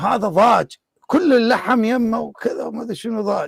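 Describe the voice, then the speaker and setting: With an Iraqi accent, a man speaks at a fairly slow pace in a high pitch. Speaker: online debate show host. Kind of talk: casual anecdote; live online debate.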